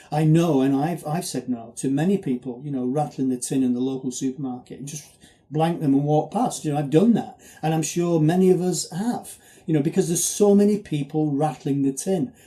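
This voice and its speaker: A man speaks with ordinary pitch variation and a somewhat breathy quality. His tone is dark and mellow. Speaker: charity marathon runner. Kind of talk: video appeal. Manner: fast; halting.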